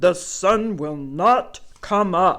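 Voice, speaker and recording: A raspy, put-on character voice at a middle pitch. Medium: read story. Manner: proud, emphatic.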